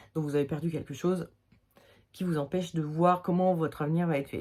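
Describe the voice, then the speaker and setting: A voice with a Limoges accent at a moderate pace, ordinary pitch variation, on a very clean recording with a silent background. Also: woman. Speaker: tarot reader. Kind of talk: tarot reading video. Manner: hesitant, casual with fillers.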